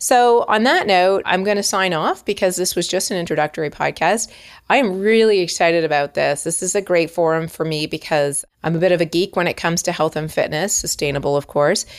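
In a Canadian accent and a normal speaking voice, a woman talks at a fairly quick pace with hardly any pauses, fairly low pitch and ordinary pitch variation, on a very clean recording with a silent background. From Canada, Toronto. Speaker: podcast host, personal trainer. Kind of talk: solo podcast monologue. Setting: home recording.

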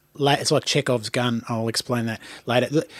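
Speaking at a fairly quick pace with an Australian accent, a man at a medium pitch shows ordinary pitch variation on a very clean recording with a silent background. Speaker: podcast host and playwright. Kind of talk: casual chat. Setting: studio.

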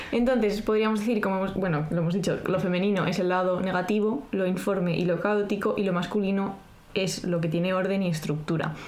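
With audible room echo and noticeable background noise, a woman at medium pitch talks at a fairly quick pace, her loudness very even and her intonation fairly even. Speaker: podcast co-host. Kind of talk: casual chat with scripted segments.

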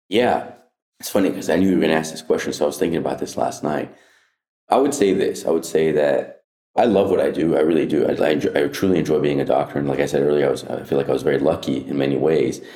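A man speaks very fast in a very deep, low voice with a dark, mellow tone, vocal fry and ordinary pitch variation. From Southern California, Orange County. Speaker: urologist. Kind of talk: interview conversation.

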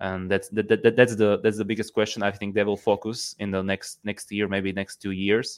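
The delivery comes at a moderate pace. Its intonation stays monotone and flat. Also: man. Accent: Slovak. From Slovakia. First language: Slovak. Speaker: hockey fan and writer. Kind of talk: casual chat. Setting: remote call. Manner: halting.

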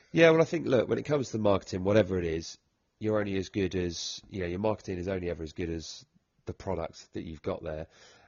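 With a Welsh accent, a man talks at a very fast pace. His very deep, low pitch moves with lively intonation. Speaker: rugby podcast host. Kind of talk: casual chat.

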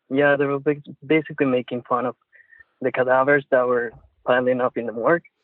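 At a very fast pace broken by long, frequent pauses, a man with a Puerto Rican accent speaks at a medium pitch in a monotone, flat intonation. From Puerto Rico. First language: Spanish. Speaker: caller, industrial engineer. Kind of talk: casual chat. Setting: phone call. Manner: halting, searching for words.

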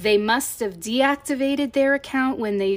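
A woman's animated voice at a moderate pace, with ordinary pitch variation. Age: 40s. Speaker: podcast host. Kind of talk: casual solo commentary. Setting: home, recording by an open window. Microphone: new mic setup.

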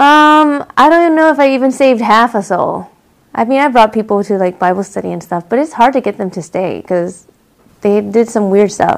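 Using a plain, everyday voice, a woman with a fairly high pitch speaks at a fairly quick pace with lively intonation. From US, Korean immigrant family. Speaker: comedian. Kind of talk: casual chat.

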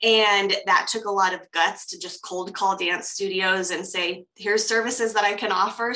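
Over noticeable background noise, a woman talks in a General American accent with monotone, flat intonation. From US, Colorado. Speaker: coach and professional dancer. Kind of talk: interview conversation. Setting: video call.

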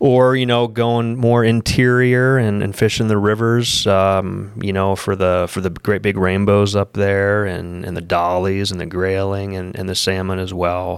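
With an American accent and a plain, everyday voice, a man speaks at a fairly slow pace in a fairly low pitch, his intonation fairly even and hardly any pauses between words. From Pennsylvania. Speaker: fishing and hunting travel outfitter. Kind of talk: casual interview.

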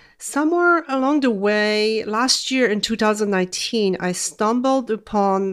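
Lively intonation in a Polish accent, fairly slow yet with hardly any pauses, very even loudness, on a very clean recording with a silent background. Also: woman. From Poland. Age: 40s. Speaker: weight loss coach and nurse. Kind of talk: podcast monologue.

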